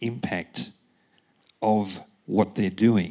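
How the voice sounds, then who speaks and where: A man talks at a fairly low pitch. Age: 60s. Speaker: audience member. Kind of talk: audience question.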